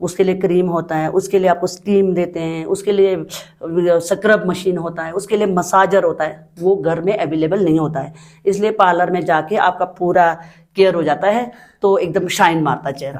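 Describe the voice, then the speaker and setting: A woman's ordinary speaking voice, fairly low in pitch, at a moderate pace with fairly even intonation. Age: 60s. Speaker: beautician. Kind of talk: interview.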